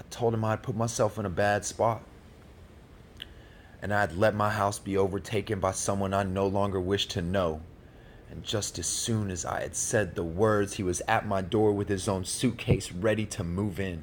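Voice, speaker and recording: A man with a plain, everyday voice, fairly low pitch, fairly even intonation and a moderate pace. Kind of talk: spoken word poetry performance.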